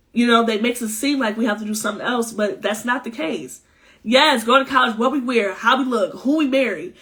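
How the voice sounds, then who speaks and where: This woman talks loudly at a fairly quick pace, her fairly high voice bright and sharp, animated in tone, with ordinary pitch variation. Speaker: spiritual healer and live-stream host. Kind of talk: casual live-stream chat. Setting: Instagram live stream.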